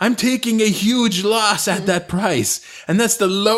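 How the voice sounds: The voice is a natural reading voice. Its intonation stays fairly even.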